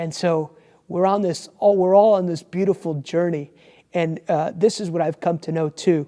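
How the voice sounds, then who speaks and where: A man's high-pitched voice with a dark, mellow tone, fairly even intonation and a moderate pace. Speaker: evangelist preacher. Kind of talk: devotional reflection talk.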